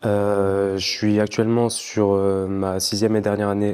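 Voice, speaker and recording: A man's fairly low voice with a dark, mellow tone, on a very clean recording with a silent background. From France, Clermont-Ferrand. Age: 20s. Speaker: dentist and kickboxer. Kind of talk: interview. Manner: hesitant, many fillers.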